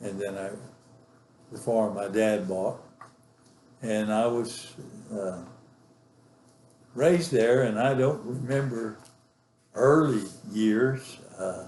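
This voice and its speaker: A man's medium-pitched voice in a West Texas accent, very slow with long, frequent pauses, ordinary pitch variation, big swings in loudness, and audible room echo. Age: 80s+. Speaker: grandfather telling his life story. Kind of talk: oral history interview. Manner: halting, many fillers.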